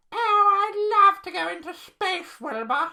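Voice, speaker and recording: A put-on character voice at an extremely high pitch delivers the lines at a fairly slow pace. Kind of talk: bedtime story. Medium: read story. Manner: excitable, bubbly.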